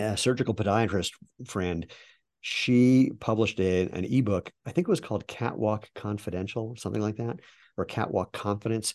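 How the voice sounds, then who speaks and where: With a normal speaking voice, a man of fairly low pitch talks at a fairly quick pace with ordinary pitch variation against a quiet background. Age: 60s. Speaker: shoe company founder and masters sprinter. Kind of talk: interview.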